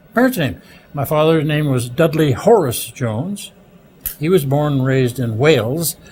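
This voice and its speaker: A man talks at a moderate pace, his voice somewhat breathy and fairly high, with lively intonation. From Ontario, Canada (Sault Ste. Marie). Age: 70s. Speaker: retired broadcaster. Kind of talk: interview. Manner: halting.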